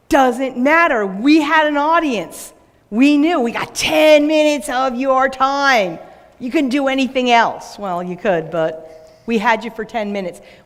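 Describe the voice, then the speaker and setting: A woman with a New York accent talks at a fairly slow pace in a high pitch with lively intonation, amid noticeable background noise and audible room echo. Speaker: business owner and speaker. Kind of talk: conference talk.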